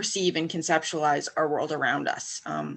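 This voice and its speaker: A woman speaks at a fairly slow pace with a Western Canadian accent. Her voice shows vocal fry. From Western Canada. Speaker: academic researcher. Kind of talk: panel discussion.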